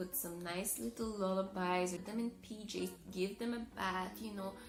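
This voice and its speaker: Over music in the background, a woman with a French-Canadian accent speaks at a fairly slow pace, her medium-pitched voice keeping a fairly even intonation. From Montreal, Canada. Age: 20s. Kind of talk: casual talk to camera.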